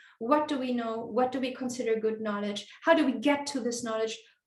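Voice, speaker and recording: With audible room echo, a woman talks at a moderate pace in a fairly high pitch, showing ordinary pitch variation. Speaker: conference speaker. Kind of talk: conference presentation. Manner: hesitant, many fillers.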